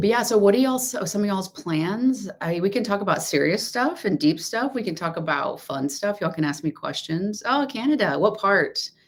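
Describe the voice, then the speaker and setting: Speaking at a fairly quick pace, a woman with a medium-pitched voice swings her pitch very widely over noticeable background noise. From Texas. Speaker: law of assumption coach. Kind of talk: livestream chat. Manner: loud.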